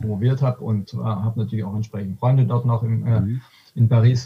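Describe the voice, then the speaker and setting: A man's fairly quick, somewhat breathy voice, medium in pitch, with a dark, mellow tone and fairly even intonation. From Swabia, Württemberg (Aalen), Germany. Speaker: economist. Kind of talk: casual interview conversation. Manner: halting, many fillers and restarts.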